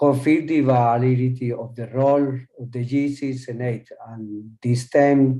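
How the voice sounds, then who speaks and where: A man's medium-pitched, dark, mellow voice in a Spanish accent, very slow and fairly even in intonation. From Colombia. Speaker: panel speaker. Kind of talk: formal address.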